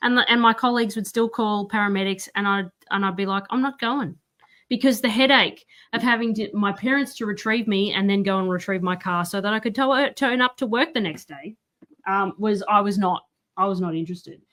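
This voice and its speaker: With an Australian accent and a bright, sharp tone, a woman speaks at a fairly quick pace in a very clean recording with a silent background. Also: medium pitch for a woman, ordinary pitch variation. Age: 30s. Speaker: author. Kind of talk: casual chat.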